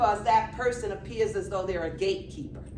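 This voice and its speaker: Amid audible room echo and noticeable background noise, a woman with an American accent speaks in an animated tone. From New York, the Bronx. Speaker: humor and healing speaker. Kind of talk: motivational talk.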